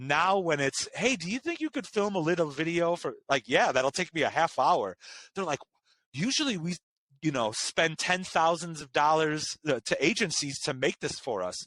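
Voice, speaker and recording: Loud and high-pitched, a man speaks at a moderate pace in a bright, sharp tone with lively intonation, on a very clean recording with a silent background and a dry, close sound with no echo. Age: 30s. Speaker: chef and content creator. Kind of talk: interview.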